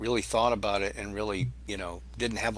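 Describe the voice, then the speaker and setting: A man with an American accent, a bright, sharp tone and vocal fry. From Massachusetts, Boston area. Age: 60s. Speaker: YouTube cooking channel creator. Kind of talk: casual interview chat. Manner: halting, with many restarts.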